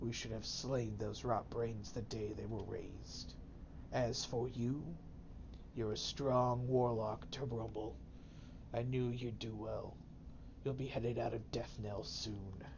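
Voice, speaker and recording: A man puts on a character voice at a medium pitch, speaking at a fairly slow pace with long, frequent pauses. Loud background noise runs under him. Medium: game stream. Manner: solemn, authoritative.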